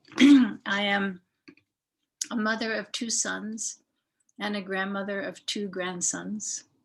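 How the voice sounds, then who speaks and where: A woman with a medium pitch speaks at a very slow pace in a somewhat breathy voice, leaving long, frequent pauses. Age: 70s. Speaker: artist and community arts founder. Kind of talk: interview. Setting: video call.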